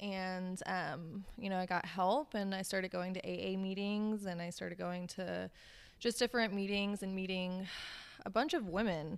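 A woman with an unremarkable speaking voice at medium pitch and moderate pace, fairly even intonation, in a very clean recording with a silent background. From US South (Savannah, Georgia), Russian-born. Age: 20s. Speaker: small business owner, fashion designer. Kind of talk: casual interview.

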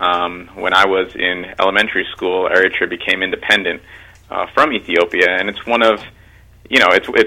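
Speaking with a New York accent, a man talks. His pace is fairly quick. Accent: New York area American. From New York, Mount Vernon (Westchester). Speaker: congressional candidate and teacher. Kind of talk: radio interview. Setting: phone call.

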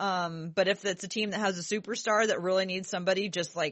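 Her delivery is a normal speaking voice: a woman at medium pitch, going at a fairly quick pace with fairly even intonation. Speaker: podcast host. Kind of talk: casual chat.

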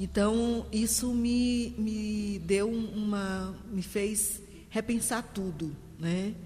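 A woman speaks at a very slow pace with fairly even intonation, with audible room echo and noticeable background noise. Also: medium pitch for a woman. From Maranhão, Brazil (São Luís). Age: 60s. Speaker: literature teacher. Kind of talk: interview conversation.

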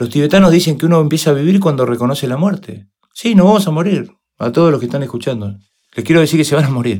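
Lively in intonation and very fast, a man speaks at a fairly high pitch with a dark, mellow tone. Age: 50s. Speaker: motivational speaker and coach. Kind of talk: interview.

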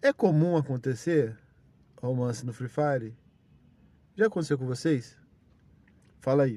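Pitch moves in an ordinary way across a dark, mellow tone. Delivery is rather slow, broken by long pauses that come often. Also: man, medium pitch for a man. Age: 30s. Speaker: podcaster. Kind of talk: casual monologue. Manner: animated.

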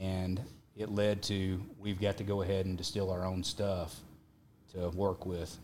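With a Texas accent, a man speaks fairly slowly in a very deep, low pitch and monotone, flat intonation, with audible room echo around him. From Texas Panhandle. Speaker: whiskey brand owner. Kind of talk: casual chat.

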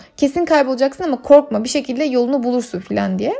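Her voice is high-pitched yet dark and mellow in tone. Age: 30s. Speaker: podcast host. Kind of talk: solo travel monologue. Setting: at home.

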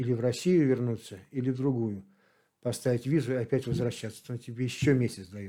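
A man speaks at a fairly quick pace in a medium pitch. His tone is dark and mellow, with ordinary pitch variation. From Saint Petersburg, Russia. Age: 60s. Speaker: long-distance walker. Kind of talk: interview. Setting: in Kislovodsk.

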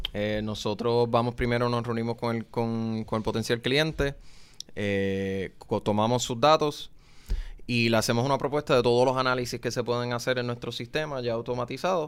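His pace is moderate, with fairly even intonation. A man talks in a normal speaking voice, medium in pitch. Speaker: economist. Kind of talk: interview.

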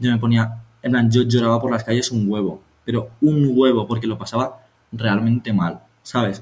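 A man talks at a medium pitch with fairly even intonation. His voice is somewhat breathy. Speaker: podcast co-host. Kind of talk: casual chat.

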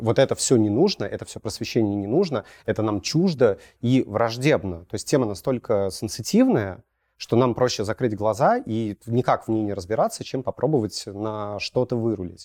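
A man's fairly low, dark, mellow voice at a fairly slow pace. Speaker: podcast host. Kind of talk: casual interview discussion.

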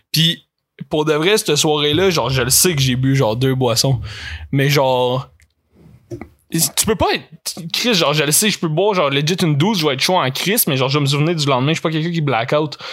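Speaking in a Quebec accent, a man with fairly high pitch moves at a fairly quick pace with very even loudness. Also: ordinary pitch variation. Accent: Québécois French. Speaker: podcast guest. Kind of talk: casual chat.

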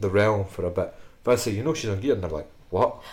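A man speaks with a Scottish accent. His pitch is fairly low. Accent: Scottish (Fife). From Scotland, Fife. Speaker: podcast host and powerlifting coach. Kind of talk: casual chat. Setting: studio in Edinburgh.

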